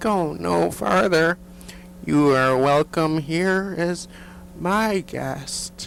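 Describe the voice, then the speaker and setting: Over clear background noise, a man performs a put-on character voice at a fairly high pitch and a very slow pace. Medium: audio drama. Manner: gracious, polite.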